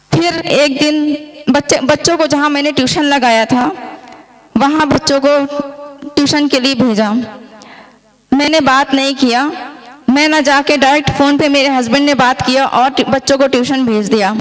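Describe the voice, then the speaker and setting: There is noticeable background noise behind a woman with a high pitch. Her loudness stays very even and her intonation fairly even. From India, Madhya Pradesh (Jabalpur). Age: 30s. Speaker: product customer, army wife. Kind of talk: testimony.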